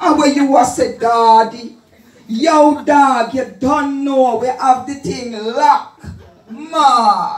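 A woman's high voice with a Jamaican accent at a very slow pace, with audible room echo. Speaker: dub poet. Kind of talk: dub poetry performance. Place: hall.

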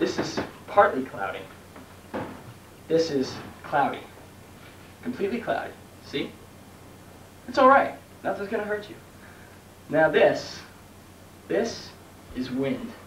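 A man talks with long, frequent pauses. Audible room echo and light background noise surround his voice. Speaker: mock weather reporter. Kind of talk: comedy sketch. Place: home room. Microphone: old recording.

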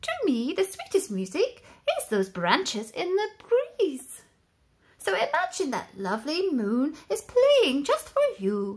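A woman performs a put-on character voice at a high pitch, swinging very widely in pitch at a fairly slow pace. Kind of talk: bedtime story. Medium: read story. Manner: gentle, encouraging, polite.

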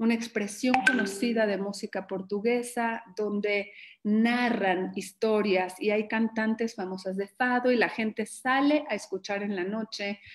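At a fairly slow pace, a woman speaks with a medium pitch and fairly even intonation.

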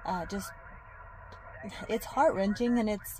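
A woman's voice, dry sound with no echo, over light background noise. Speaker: fitness vlogger. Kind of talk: casual vlog chat. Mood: reflective, somber. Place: car. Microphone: phone near.

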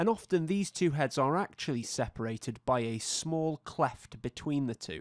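A man with an ordinary speaking voice talks at a moderate pace, with lively intonation and hardly any pauses. The recording is very clean, with a silent background. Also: fairly high pitch for a man, dry, close sound with no echo. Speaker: anatomy educator. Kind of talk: tutorial. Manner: formal.

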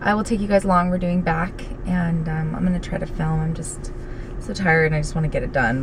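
A woman speaks at a fairly low pitch. There is noticeable background noise. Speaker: fitness vlogger. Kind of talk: casual vlog chat. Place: car. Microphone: phone near.

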